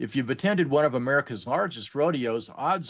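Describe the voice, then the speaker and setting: A plain, everyday voice from a man, medium in pitch with ordinary pitch variation, at a moderate pace over a quiet background. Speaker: podcast host. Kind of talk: interview show introduction.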